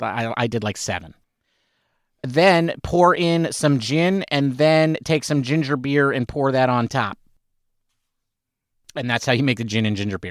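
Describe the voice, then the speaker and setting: A man speaks at a fairly high pitch in an ordinary speaking voice. The recording is very clean, with a silent background. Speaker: podcast co-host. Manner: joking, conversational.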